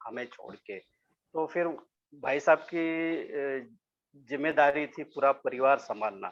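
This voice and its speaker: Here a man speaks at a fairly high pitch with ordinary pitch variation. The background is quiet. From Maharashtra, India (Solapur). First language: Marathi (speaking Hindi). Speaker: sculptor. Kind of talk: interview. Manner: halting, many fillers; polite, humble.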